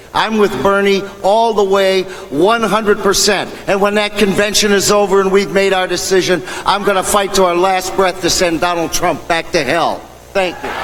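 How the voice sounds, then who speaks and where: A man talks with a high pitch and fairly even intonation. Noticeable background noise can be heard. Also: moderate pace. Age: 60s. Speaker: union stagehand, party activist. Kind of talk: convention speech.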